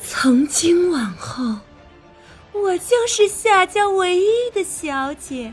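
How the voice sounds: A woman uses a put-on character voice at an extremely high pitch with big pitch swings and a slow pace. Faint music plays in the background.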